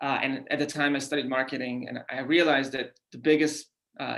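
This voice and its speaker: This man speaks at a fairly quick pace with an Israeli accent. His fairly high voice stays monotone and flat. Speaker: company founder. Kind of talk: podcast interview. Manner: hesitant, many fillers.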